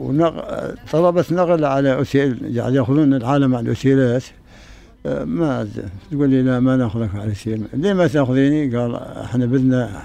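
Noticeable background noise sits behind a man speaking at a moderate pace. His voice is medium in pitch with ordinary pitch variation. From Syria, rural Aleppo. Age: 80s+. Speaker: elderly refugee. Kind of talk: interview testimony. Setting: tent in refugee camp.

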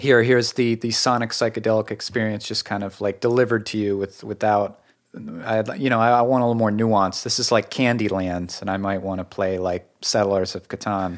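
Against a silent background in a very clean recording, a man with an unremarkable speaking voice talks at a fairly low pitch with fairly even intonation. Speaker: podcast host and musician. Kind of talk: casual chat about music. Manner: casual, filler-heavy, friendly.

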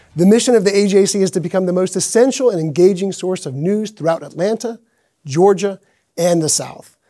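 The recording is very clean, with a silent background. A man talks at a fairly quick pace in a high pitch, with a dark, mellow tone and ordinary pitch variation. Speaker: political reporter and podcast co-host. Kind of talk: moderated interview. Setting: stage with audience.

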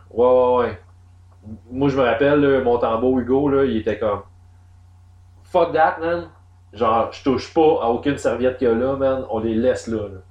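Speaking in a Quebec accent at a moderate pace, a man leaves long, frequent pauses. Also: medium pitch for a man, ordinary pitch variation. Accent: Québécois French. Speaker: podcast host. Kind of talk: casual chat.

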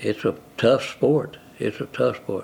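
A man speaks in a West Texas accent. Noticeable background noise sits behind him. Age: 80s+. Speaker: retiree and football fan. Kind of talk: interview.

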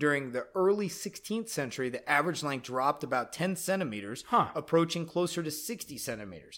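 A man with a fairly high pitch talks at a fairly quick pace with hardly any pauses, his intonation lively and his tone animated, on a very clean recording with a silent background. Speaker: podcast host. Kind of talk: casual chat.

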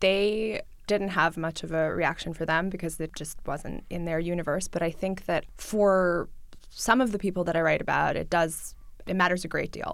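Over a silent background in a very clean recording, a woman with a New York accent talks at a moderate pace and medium pitch. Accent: New York American English. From New York City, Russian-speaking family. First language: Russian. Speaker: journalist. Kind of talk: interview.

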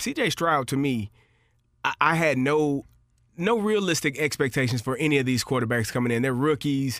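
Here is an unremarkable speaking voice from a man, fairly high in pitch with ordinary pitch variation. He moves at a fairly quick pace, and the sound is dry and close with no echo. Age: 40s. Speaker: former NFL player, football podcast co-host. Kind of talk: casual sports chat.

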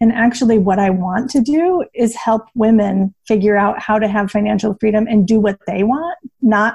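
The voice is somewhat breathy and fairly high in pitch. A woman is speaking at a moderate pace. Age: 30s. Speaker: personal finance blogger. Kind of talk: casual chat.

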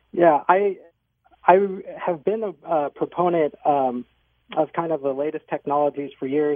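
Moving at a fairly slow pace, a man speaks with ordinary pitch variation. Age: 30s. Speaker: physician assistant and knee surgery patient. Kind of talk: radio interview.

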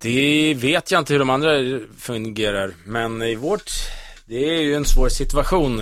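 In a very clean recording with a silent background, a plain, everyday voice moves at a moderate pace with lively intonation. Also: man. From central Sweden, Västmanland (Kolsva near Köping). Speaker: radio host. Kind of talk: casual chat.

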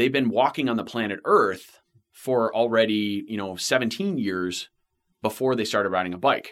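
The recording is very clean, with a silent background. In it, a man talks at a moderate pace with ordinary pitch variation. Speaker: bike fitter. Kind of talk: expert panel discussion.

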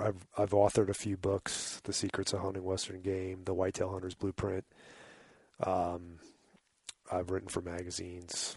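A man with a very deep, low pitch and a somewhat breathy voice, monotone and flat, at a moderate pace with long, frequent pauses, against a quiet background. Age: 40s. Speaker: hunting guide and conservation advocate. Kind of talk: casual chat.

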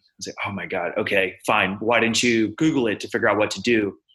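A man with a fairly low pitch talks at a fairly quick pace in a bright, sharp tone. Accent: American. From Texas, Houston. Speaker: physician and tech startup founder. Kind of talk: interview.

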